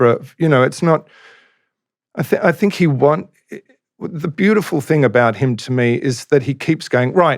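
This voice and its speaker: With an Australian accent, a man talks at a moderate pace, his intonation lively and his pauses long and frequent. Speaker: singer-songwriter. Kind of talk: interview answer.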